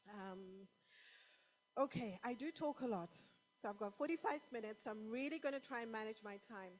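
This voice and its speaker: A woman's fairly high, fairly quick speech with lively intonation and long, frequent pauses over background music. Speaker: conference speaker. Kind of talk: sermon. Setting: stage with audience.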